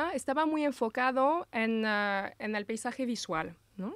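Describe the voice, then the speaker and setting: Over a quiet background, a woman with a French accent speaks fairly slowly with lively intonation, the sound dry with no echo. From Brittany, France. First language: French (speaking Spanish). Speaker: landscape architect, association president; interview guest. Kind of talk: interview. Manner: halting, many repetitions. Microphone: studio mic.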